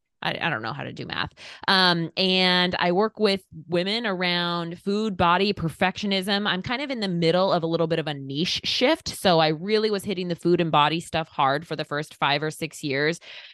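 A woman with an American accent speaks at a moderate pace in an energetic, animated tone, her fairly low pitch showing ordinary variation. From US Pacific Northwest (Eastern Oregon). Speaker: life and confidence coach, podcaster. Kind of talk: casual interview conversation.

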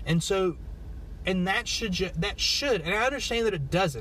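At a moderate pace, a high-pitched man with an American accent speaks with lively intonation and very even loudness over noticeable background noise. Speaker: podcaster. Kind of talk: solo monologue podcast. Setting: in a car. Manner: rambling, halting.

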